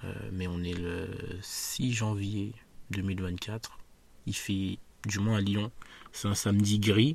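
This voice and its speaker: Speaking very slowly, a man uses a fairly low pitch and fairly even intonation. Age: 20s. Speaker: podcaster. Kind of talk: solo monologue. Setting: outdoors in a park. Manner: hesitant, many fillers.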